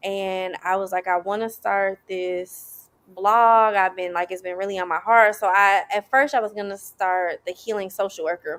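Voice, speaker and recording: A woman talks at a fairly slow pace and medium pitch. The recording is very clean, with a silent background. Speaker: self-love advocate and social worker. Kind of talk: interview. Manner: animated.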